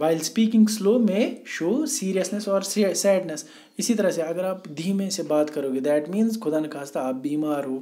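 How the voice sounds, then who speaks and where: A man with a high pitch and a dark, mellow tone talks with lively intonation and hardly any pauses, with audible room echo in the recording. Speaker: teacher. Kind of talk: lecture. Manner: moderate speed.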